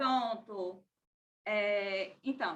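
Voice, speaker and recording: This woman has a bright, sharp tone. Her pitch varies in an ordinary way. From Sergipe, Brazil (Aracaju). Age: 30s. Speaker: film festival press officer. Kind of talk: online debate contribution. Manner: hesitant.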